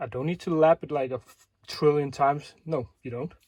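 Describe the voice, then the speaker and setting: With a Danish accent, a man speaks in a fairly high pitch at a fairly slow pace. His pitch variation is ordinary. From Denmark. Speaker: airsoft tech video maker. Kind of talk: tutorial. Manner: casual, with many fillers.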